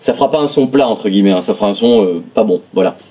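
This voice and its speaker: Noticeable background noise sits under the voice. The talking goes at a fairly quick pace. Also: man. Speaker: music producer and tech reviewer. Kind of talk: product review. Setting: home studio. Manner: fast; many hesitations (euh).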